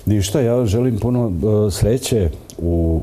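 His intonation is lively. The man keeps his pace fairly slow. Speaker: TV presenter. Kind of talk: TV interview. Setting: studio. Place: studio. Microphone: lapel.

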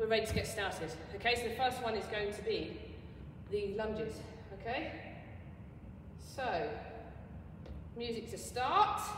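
Long, frequent pauses break up a woman's moderate-paced speech, which has ordinary pitch variation, audible room echo and light background noise. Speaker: PE teacher. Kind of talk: tutorial. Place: hall. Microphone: camera far.

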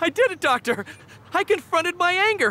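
A man in a cartoonish character voice, extremely high-pitched, with a bright, sharp tone, big pitch swings and a slow pace

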